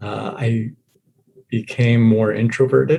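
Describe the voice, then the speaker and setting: A man with an American accent, medium in pitch, somewhat breathy, with a dark, mellow tone and fairly even intonation. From US military child raised overseas (Germany, Italy, Japan). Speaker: guest sharing life story. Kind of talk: podcast interview.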